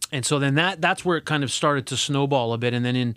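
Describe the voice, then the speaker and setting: Speaking at a very fast pace, a man talks with a Canadian accent and ordinary pitch variation. The recording is very clean, with a silent background. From Alberta, Canada. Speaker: corporate HR executive. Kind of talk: casual interview. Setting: studio.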